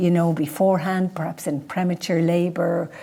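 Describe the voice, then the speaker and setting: Speaking with a Dublin accent, a woman has a fairly low pitch, a dark, mellow tone and a somewhat breathy quality. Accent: Dublin Irish. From Ireland, Dublin. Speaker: midwife. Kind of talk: presentation with Q&A.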